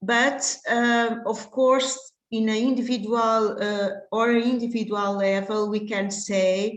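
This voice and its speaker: Audible room echo surrounds a woman speaking at a fairly high pitch with fairly even intonation. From Portugal. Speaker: contraception specialist doctor. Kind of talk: lecture. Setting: online webinar. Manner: halting, many fillers.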